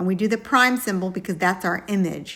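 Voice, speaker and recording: A woman with a normal speaking voice, medium in pitch, and fairly even intonation. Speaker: math teacher. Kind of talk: tutorial. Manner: casual.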